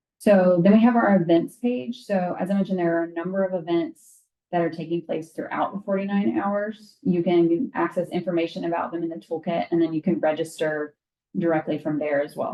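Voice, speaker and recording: A woman speaks in a plain, everyday voice, fairly low in pitch. Her pace is fairly quick, with ordinary pitch variation. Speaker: university alumni staff trainer. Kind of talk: training presentation.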